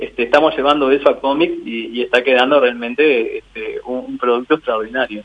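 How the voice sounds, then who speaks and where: Through noticeable background noise, a man talks at a fairly quick pace with big swings in loudness. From Uruguay (Mercedes, Durazno, San José, Tacuarembó). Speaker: mentalist and painter. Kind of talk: radio interview. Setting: phone call. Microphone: poor mobile phone line.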